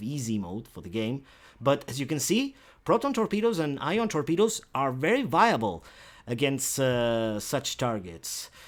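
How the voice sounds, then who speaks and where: Medium-pitched male speech with a non-native accent and very wide pitch swings, at a moderate pace, on a very clean recording with a silent background. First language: not English. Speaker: video gamer. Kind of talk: gameplay tutorial. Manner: halting, many fillers; casual.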